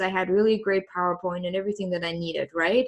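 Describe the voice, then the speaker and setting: A woman is speaking. She has a slight German accent. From Germany. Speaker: coach. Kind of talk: interview. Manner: hesitant, many fillers.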